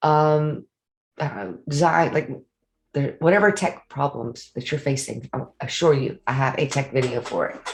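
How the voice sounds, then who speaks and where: A somewhat breathy woman with a Louisiana accent, at a fairly slow pace with ordinary pitch variation, in a very clean recording over a silent background. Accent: Louisiana Southern US. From Louisiana, Cajun. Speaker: online business coach. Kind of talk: sales pitch. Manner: casual, filler-heavy.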